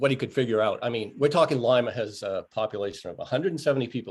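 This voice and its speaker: With a plain, everyday voice, a man speaks using lively intonation. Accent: American. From Maine, US. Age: 60s. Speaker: motorcycle rider. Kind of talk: casual interview.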